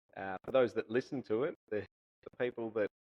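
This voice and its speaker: Man with a strong Australian accent, a medium pitch, and ordinary pitch variation. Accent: broad Australian. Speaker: golf coach and podcast co-host. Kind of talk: casual chat.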